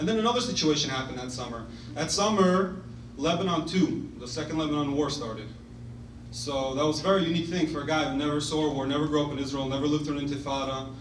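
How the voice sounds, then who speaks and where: A man with a New York accent and a fairly high pitch at a very fast pace, with ordinary pitch variation, over noticeable background noise and audible room echo. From Brooklyn, New York (Crown Heights). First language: Russian. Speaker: former soldier and pre-med student. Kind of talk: speech to an audience. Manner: casual, halting with fillers.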